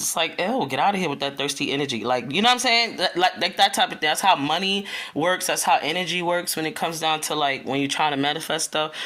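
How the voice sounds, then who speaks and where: Loud and at a very fast pace, a woman speaks. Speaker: spiritual content creator. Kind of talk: casual spiritual talk video. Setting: at home early morning, children asleep. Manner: casual, chatty with filler words.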